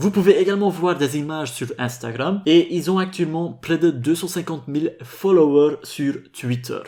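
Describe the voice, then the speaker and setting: A man with a non-native accent, high pitch and moderate pace. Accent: foreign accent in French. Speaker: crypto YouTuber. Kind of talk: scripted video commentary.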